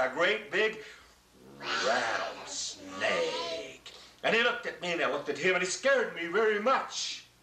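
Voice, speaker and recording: The man's tone is animated and dramatic. Audible room echo and light background noise surround his voice. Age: old. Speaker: grandfather storyteller. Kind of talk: oral story told to grandchildren. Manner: animated, dramatic. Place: home room.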